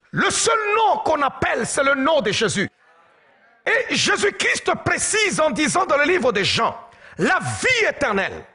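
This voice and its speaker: A man speaks at a very slow pace in a raised, projected voice, his pitch extremely high with very wide swings. Noticeable background noise is present. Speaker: pastor. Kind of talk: sermon. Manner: animated.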